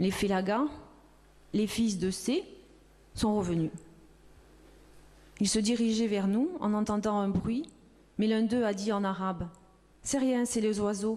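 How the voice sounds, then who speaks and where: Speaking at a very slow pace with long, frequent pauses, a woman uses a fairly high pitch, a dark, mellow tone, ordinary pitch variation and very even loudness. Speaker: reader. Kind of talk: reading of a witness testimony.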